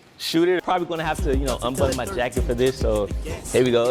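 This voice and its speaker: Upbeat and energetic, the speaker has an American accent. Music plays in the background. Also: man. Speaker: local TV sports anchor and reporter. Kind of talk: TV sports broadcast reel. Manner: upbeat, energetic, joking.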